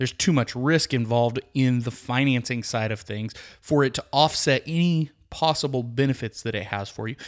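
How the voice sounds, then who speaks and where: The speaker has a Texan accent and ordinary pitch variation, talking at a moderate pace on a very clean recording with a silent background. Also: man, medium pitch for a man. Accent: Texan American. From Texas, Midland. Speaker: podcast host, real estate agent. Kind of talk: solo advice podcast, answering listener questions. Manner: casual with frequent fillers.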